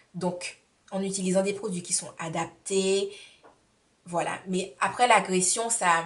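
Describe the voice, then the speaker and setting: Speaking in a medium pitch, a woman sounds somewhat breathy with monotone, flat intonation. Her pace is very slow, broken by long, frequent pauses. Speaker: beauty vlogger. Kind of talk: tutorial.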